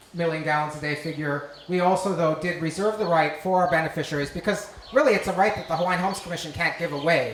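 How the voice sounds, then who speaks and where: A man talks at a very fast pace with a fairly high pitch and fairly even intonation. Noticeable background noise and audible room echo fill the recording. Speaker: government agency presenter. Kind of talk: public meeting presentation. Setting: community meeting hall.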